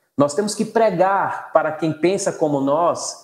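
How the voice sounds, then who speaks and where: In a northeastern Brazilian accent, a man speaks at a high pitch over a quiet background, with audible room echo. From Northeast Brazil. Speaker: law professor. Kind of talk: casual chat. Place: home room. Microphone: video call.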